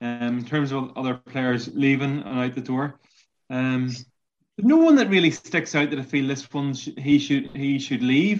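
In a Northern Irish accent, a man speaks at a fairly slow pace with a fairly high pitch and ordinary pitch variation. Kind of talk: casual chat.

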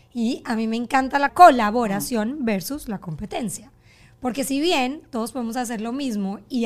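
A woman speaks at a moderate pace with a fairly high pitch and lively intonation, in an ordinary speaking voice. The recording is very clean, with a silent background. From Colombia. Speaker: podcast host. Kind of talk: casual chat.

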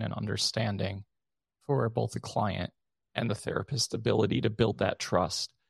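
At a fairly quick pace, a man speaks with a fairly low pitch, vocal fry and fairly even intonation. The sound is dry and close, with no echo. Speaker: podcast host. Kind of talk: podcast conversation.

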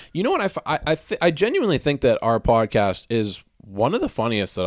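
Recorded very cleanly against a silent background, a man speaks at a fairly quick pace with a dry, close sound and no echo. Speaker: podcast host. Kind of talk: casual comedic banter. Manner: laid back, easy delivery.

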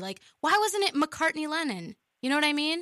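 In an American accent, a woman with a high pitch speaks at a moderate pace in a raised, projected voice, recorded dry and close with no echo. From US Midwest, Indiana. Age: 20s. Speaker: community radio co-host. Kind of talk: casual chat. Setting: studio.

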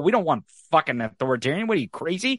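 A man with an American accent talks with a fairly high pitch, very wide pitch swings and a bright, sharp tone. The sound is dry and close with no echo, over a quiet background. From rural Missouri, US. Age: 30s. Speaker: podcaster and online political commentator. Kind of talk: casual interview conversation. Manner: loud and direct.

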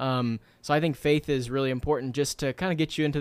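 Someone with a plain, everyday voice talks at a fairly quick pace and with fairly even intonation in a dry, close, very clean recording with no echo and a silent background. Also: man. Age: 20s. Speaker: author and entrepreneur. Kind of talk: interview.

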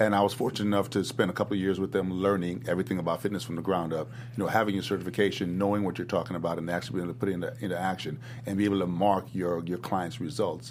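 A very deep, low male voice with an American accent at a very fast pace, ordinary pitch variation, music in the background. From US South. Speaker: fitness gym owner and trainer. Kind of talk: casual interview chat.

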